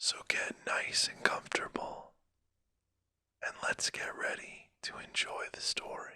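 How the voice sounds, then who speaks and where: A calm whisper at a very slow pace. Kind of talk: casual intro to listeners. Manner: whispered, calm, soft-spoken.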